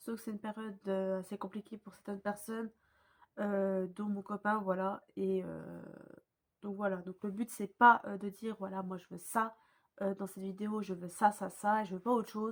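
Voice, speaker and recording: A woman talks at a moderate pace and medium pitch, her intonation monotone and flat. Her loudness swings widely. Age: young. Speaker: YouTuber. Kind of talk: casual vlog talk. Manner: hesitant, many fillers; calm, relaxed.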